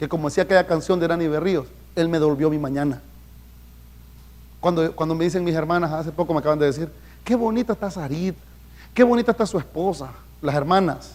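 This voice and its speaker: A man's high, animated voice at a very fast pace, broken by long, frequent pauses, with ordinary pitch variation on a very clean recording with a silent background. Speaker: pastor. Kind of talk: sermon.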